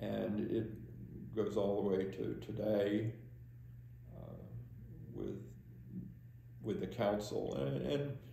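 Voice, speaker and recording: Speaking very slowly with an American accent, a man has a fairly low pitch, a dark, mellow tone and vocal fry. His pitch swings very widely, and he leaves long, frequent pauses. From Delaware Water Gap, Pennsylvania, USA. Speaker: borough council member. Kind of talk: oral history interview answer. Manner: hesitant, halting.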